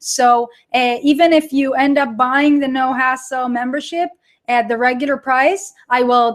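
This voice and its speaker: At a moderate pace, a woman talks in a high pitch. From Israel. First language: Hebrew. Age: 30s. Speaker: online course creator. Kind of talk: live webinar with audience chat. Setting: live online broadcast. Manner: animated.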